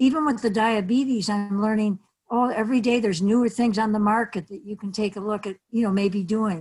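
In a very clean recording with a silent background, a woman with an American accent talks fairly quickly in a fairly high, somewhat breathy voice. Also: fairly even intonation. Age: 70s. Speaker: community activist and pet owner. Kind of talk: casual interview.

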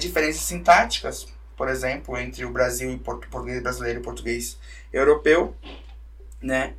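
A man is speaking. There is audible echo in the room. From Santa Catarina, Brazil (Brusque). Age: 20s. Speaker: writer and language teacher. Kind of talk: casual interview chat.

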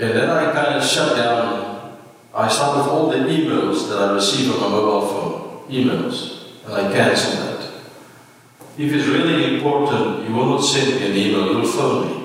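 A man speaks at a moderate pace with a medium pitch and ordinary pitch variation, over noticeable background noise. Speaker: pastor. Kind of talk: sermon. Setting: church.

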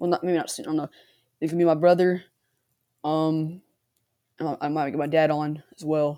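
A woman speaks with a dark, mellow tone. The recording is very clean, with a silent background. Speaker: sports card podcast host. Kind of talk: casual solo commentary. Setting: home recording with computer mic and headphones. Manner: halting, many fillers; uneven volume.

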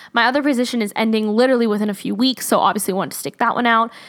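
A woman talks in a fairly high pitch with an animated tone. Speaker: podcast host. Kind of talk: casual solo podcast monologue. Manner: fast talker; animated, chatty.

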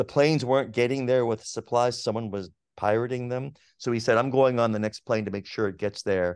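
Against a quiet background, a man with a normal speaking voice and a General American accent talks at a fairly quick pace and medium pitch with fairly even intonation. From Pittsburgh, then Los Angeles from age eight. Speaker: psychology professor. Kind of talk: interview.

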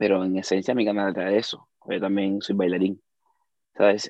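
A man's voice, fairly low in pitch. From Cuba. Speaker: dancer and content creator. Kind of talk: casual chat.

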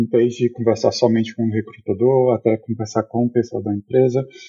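A man's somewhat breathy voice sits at a medium pitch with a monotone, flat intonation. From Brazil, Fortaleza. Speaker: software developer. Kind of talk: casual interview. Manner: halting, many fillers.

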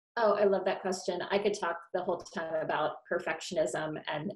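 A woman with a plain, everyday voice talks at a fairly quick pace, her fairly low pitch carried by fairly even intonation. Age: 40s. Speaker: author and career coach. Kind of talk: interview.

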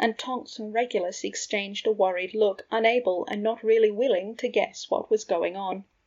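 The reading is done aloud in a natural voice, and the pitch varies in an ordinary way.

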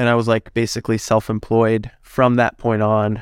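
A man with a Canadian accent speaks at a medium pitch in a flat, monotone way, recorded very cleanly against total silence. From Canada, northern Alberta. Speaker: personal trainer and natural bodybuilder. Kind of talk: casual interview.

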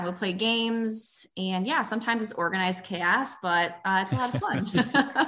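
This woman's voice has a bright, sharp tone and an American accent. The background is quiet. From Chicago, South Side. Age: 20s. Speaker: special recreation head coach. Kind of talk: radio interview.

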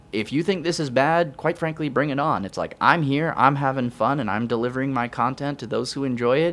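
A man talks at a fairly quick pace with a fairly high pitch and ordinary pitch variation. It is an unremarkable speaking voice. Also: hardly any pauses. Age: 20s. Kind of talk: casual interview.

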